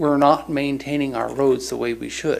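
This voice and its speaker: A man's fairly high voice with audible room echo. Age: 60s. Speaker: public commenter. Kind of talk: public comment. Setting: city council meeting.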